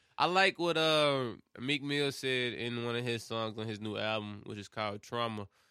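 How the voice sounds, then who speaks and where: With a Memphis accent, the speaker has a bright, sharp tone, ordinary pitch variation and a moderate pace against a quiet background. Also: man, medium pitch for a man. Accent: Southern US, Memphis. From Memphis, Tennessee. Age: 20s. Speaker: podcast host. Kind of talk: casual chat.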